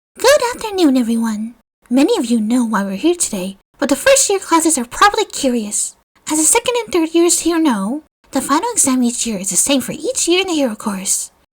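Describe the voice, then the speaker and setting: Using a put-on character voice, a woman talks at a fairly quick pace with a high pitch and very wide pitch swings. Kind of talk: formal speech to an assembly. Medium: read story.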